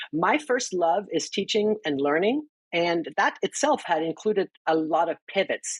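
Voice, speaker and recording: This woman speaks with a German accent at a medium pitch, her voice making very wide pitch swings. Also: dry, close sound with no echo. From Germany. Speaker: financial counselor and educator. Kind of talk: interview.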